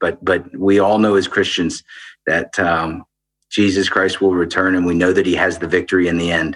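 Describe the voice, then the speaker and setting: With fairly even intonation, a man talks in a very deep, low pitch. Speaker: aid organization country director. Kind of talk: interview conversation.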